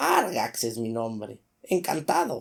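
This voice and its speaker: The speaker puts on a character voice and keeps to a fairly slow pace. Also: man. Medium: read story. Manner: mocking, ironic.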